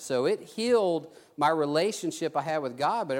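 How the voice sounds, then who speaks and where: On a very clean recording with a silent background, a man speaks in a Texan accent at a fairly high pitch. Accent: Texan Southern US. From South Texas. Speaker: preacher. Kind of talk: sermon with personal testimony. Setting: church. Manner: halting, with many restarts.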